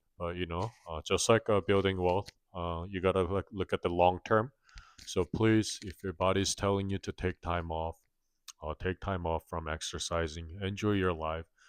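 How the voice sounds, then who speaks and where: A man with a non-native accent talks at a moderate pace, his pitch very deep and low and his intonation fairly even. The sound is dry and close with no echo, over a quiet background. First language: not English. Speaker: personal finance vlogger. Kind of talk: casual vlog monologue. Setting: home, late night filming. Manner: halting, many fillers.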